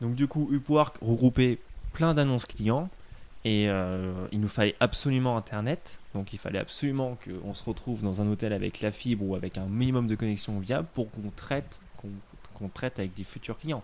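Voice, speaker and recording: A man speaks at a moderate pace, his voice at a medium pitch with ordinary pitch variation. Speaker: freelancer travelling the world. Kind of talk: casual interview. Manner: animated.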